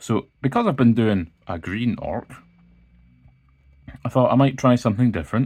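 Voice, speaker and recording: Speaking with a Scottish accent, a man talks at a fairly slow pace. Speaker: illustrator. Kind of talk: art tutorial narration. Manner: calm, casual.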